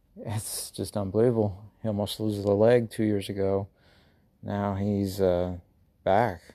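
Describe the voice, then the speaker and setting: A man's fairly low, dark, mellow voice with an American accent, monotone, flat intonation, a moderate pace, long, frequent pauses and a quiet background. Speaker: sports betting podcaster. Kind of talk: solo casual monologue. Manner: halting, many fillers.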